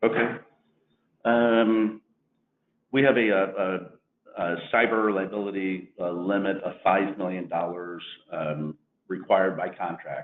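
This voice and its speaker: A man with a Missouri accent and fairly low pitch, at a fairly slow pace, with ordinary pitch variation and long, frequent pauses. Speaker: insurance agency owner. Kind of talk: webinar presentation.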